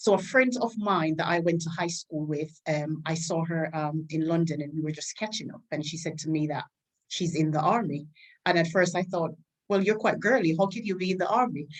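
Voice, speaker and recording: A woman with a Caribbean accent, fairly low in pitch, at a fairly quick pace with ordinary pitch variation. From Jamaica. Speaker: army staff sergeant and PA. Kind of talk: interview.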